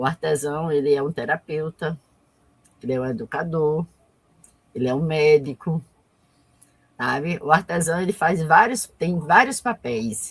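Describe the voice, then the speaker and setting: In a dry, close recording with no echo, a woman speaks fairly slowly in a very deep, low, somewhat breathy voice with ordinary pitch variation. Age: 60s. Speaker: artisan and cultural activist. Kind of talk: live interview. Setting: online live stream.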